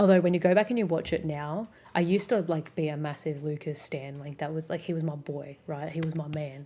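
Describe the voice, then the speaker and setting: Speaking fairly quickly, a woman uses a very deep, low voice with a dark, mellow tone. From Australia. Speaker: streamer. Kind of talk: casual chat. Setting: live stream. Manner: fast.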